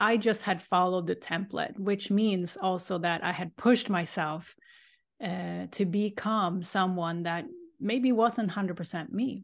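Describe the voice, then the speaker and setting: A woman with a Swedish accent and a medium pitch talks at a fairly slow pace with ordinary pitch variation, the background quiet. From Sweden. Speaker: life coach and energy healer. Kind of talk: interview.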